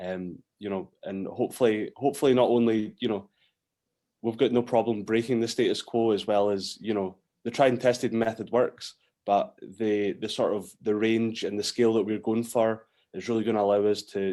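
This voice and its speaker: In a Scottish accent, a man talks at medium pitch with a dark, mellow tone and fairly even intonation, on a very clean recording with a silent background. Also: moderate pace. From Scotland. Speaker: whisky distiller. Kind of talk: interview. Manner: hesitant, many fillers.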